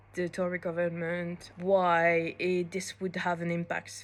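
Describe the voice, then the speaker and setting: This woman speaks with a French accent at a moderate pace. Her pitch sits fairly low. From France. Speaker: law student. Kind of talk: prepared monologue.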